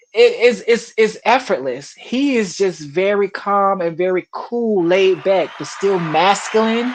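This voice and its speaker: A woman at medium pitch speaks with an animated tone and lively intonation, at a fairly slow pace with hardly any pauses. Noticeable background noise runs underneath. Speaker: entertainer. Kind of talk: casual chat. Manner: loud, animated.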